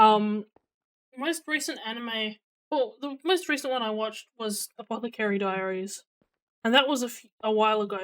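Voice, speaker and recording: The speaker has an Australian accent and talks at a moderate pace. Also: woman, fairly high pitch for a woman, ordinary pitch variation. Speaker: streamer. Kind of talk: casual chat. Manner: loud; hesitant, many fillers.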